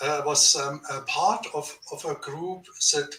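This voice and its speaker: A man speaks with a German accent. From Germany. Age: 70s. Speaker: author and researcher. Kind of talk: interview. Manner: halting.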